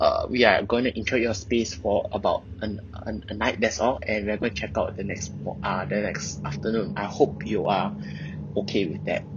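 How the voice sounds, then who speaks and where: A man speaks with a Singaporean accent. His pace is fairly quick. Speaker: confessor telling a hotel ghost experience. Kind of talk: ghost story telling. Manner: hesitant, halting, with filler words.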